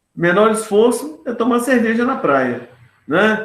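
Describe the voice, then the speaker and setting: There is audible room echo as a man talks in a high pitch at a fairly slow pace. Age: 60s. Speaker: professor. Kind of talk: panel discussion. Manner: casual, colloquial.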